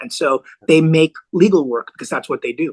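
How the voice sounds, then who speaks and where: A man with an American accent speaks at a moderate pace in a plain, everyday voice, his pitch fairly high with ordinary variation. The sound is dry and close, with no echo. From US (New York, LA, Bay Area). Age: 60s. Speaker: lawyer and former nightclub owner. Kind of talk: podcast interview.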